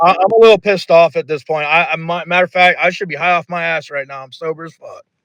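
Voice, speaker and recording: A high-pitched man speaks very fast with hardly any pauses and fairly even intonation. His loudness swings widely, and the sound is dry and close with no echo. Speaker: roleplay gamer. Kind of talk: heated debate.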